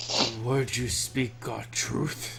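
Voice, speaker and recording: A man's guttural, put-on character voice over loud background noise. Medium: actual play. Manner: terse, clipped.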